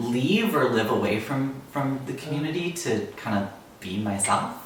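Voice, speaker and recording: Noticeable background noise and audible room echo surround a man who speaks at a moderate pace with ordinary pitch variation. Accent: Ottawa Valley. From Ottawa Valley, Ontario. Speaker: environmental scientist and bluegrass musician. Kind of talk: interview testimony. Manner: casual, many fillers.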